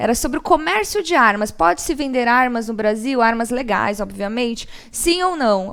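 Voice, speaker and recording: Her high-pitched voice moves at a moderate pace, and this woman's intonation is lively. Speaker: law professor. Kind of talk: interview.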